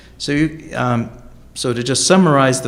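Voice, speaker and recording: A man talks at a moderate pace with fairly even intonation and a medium pitch. Audible room echo surrounds his voice. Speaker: education researcher. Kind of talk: conference talk.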